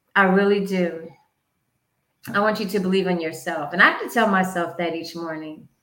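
A woman with an American accent talks in an animated tone at a moderate pace and medium pitch, with audible room echo. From US South, North Carolina. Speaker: podcast host, finance segment. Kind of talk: motivational talk on personal finance.

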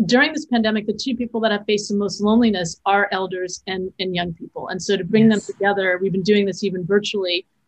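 Her intonation fairly even, a woman talks in an ordinary speaking voice. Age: 50s. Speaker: filmmaker and educator. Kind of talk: interview conversation.

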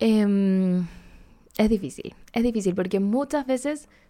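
In a Chilean accent, the speaker has a dark, mellow tone and lively intonation on a very clean recording with a silent background. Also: woman. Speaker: podcast host. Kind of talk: advice show, reading listener letters. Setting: home recording. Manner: casual, chatty.

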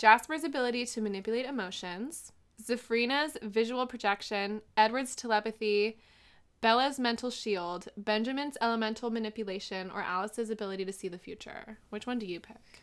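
Loudness swings widely as a woman with a fairly high pitch and ordinary pitch variation speaks at a fairly quick pace in a normal speaking voice. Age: 20s. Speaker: podcast co-host. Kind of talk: casual chat. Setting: video call.

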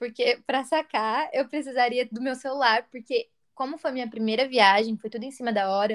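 This woman has a high pitch and ordinary pitch variation. She talks at a moderate pace. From Brazil, interior of São Paulo state. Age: 20s. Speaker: travel podcast co-host. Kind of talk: casual chat.

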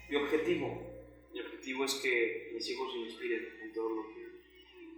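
Music plays in the background as a man talks at a moderate pace with audible room echo. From Mexico, Quintana Roo (Yucatán Peninsula). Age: 20s. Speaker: public speaker and social activist. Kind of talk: casual interview.

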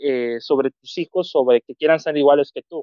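A man with a plain, everyday voice talks at a fairly quick pace, his pitch varying in an ordinary way. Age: 20s. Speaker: film commentator. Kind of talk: casual chat.

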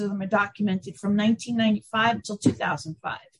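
Fairly high-pitched woman's voice, somewhat breathy. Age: 50s. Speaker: author and conference organizer. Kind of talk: interview.

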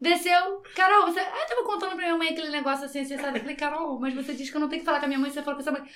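A woman speaks at a very fast, high pitch with hardly any pauses and ordinary pitch variation. Her tone is bright and sharp, and audible room echo surrounds it. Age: 30s. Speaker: podcast guest. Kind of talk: casual chat.

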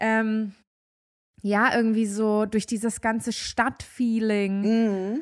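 A woman speaks at a very slow pace in a fairly high pitch, her intonation monotone and flat. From Germany. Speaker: podcast co-host. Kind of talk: casual chat. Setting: remote call.

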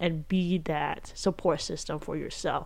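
This woman has an unremarkable speaking voice, pitched fairly low. She talks at a fairly slow pace with fairly even intonation. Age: 20s. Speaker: solo podcaster. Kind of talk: casual monologue. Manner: casual, filler-heavy.

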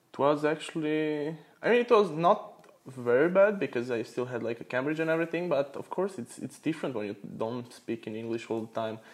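A man with a Romanian accent speaks at a fairly quick pace with hardly any pauses. His fairly high pitch moves in very wide swings. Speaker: guest, computer engineering student. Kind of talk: casual interview chat.

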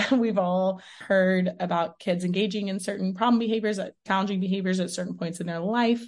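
A somewhat breathy voice with an American accent comes through over a quiet background. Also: woman. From Texas, Houston. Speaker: special education professor. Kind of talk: interview.

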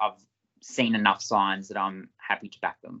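A man's fairly low voice with an Australian accent, fairly even intonation and a moderate pace. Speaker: junior football draft podcast co-host. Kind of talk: casual sports analysis chat. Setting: recorded video podcast.

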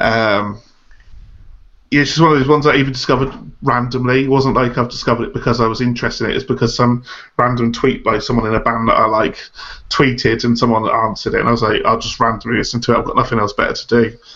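A man with a medium pitch talks at a very fast pace, his intonation fairly even. There is noticeable background noise. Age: 30s. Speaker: podcast co-host. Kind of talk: casual chat.

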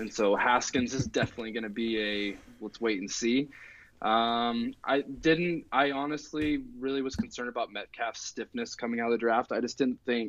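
A man speaks in a normal speaking voice at a medium pitch. His pace is moderate, his pitch variation ordinary, and the background quiet. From US Pacific Northwest, Oregon. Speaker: math teacher and football analyst. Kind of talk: casual chat.

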